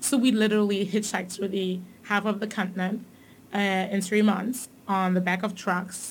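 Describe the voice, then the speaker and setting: At a moderate pace, a woman speaks in a somewhat breathy, medium-pitched voice with monotone, flat intonation. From Tanzania, raised in Germany. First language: German. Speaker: corporate manager. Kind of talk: casual interview.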